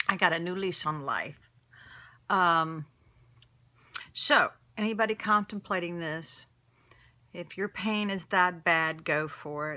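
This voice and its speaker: Bright and sharp in tone, the voice moves at a fairly slow pace with fairly even intonation. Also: woman. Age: 60s. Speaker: vlogger sharing surgery recovery. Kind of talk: casual video diary. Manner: hesitant, filler-heavy. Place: home room. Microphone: phone near.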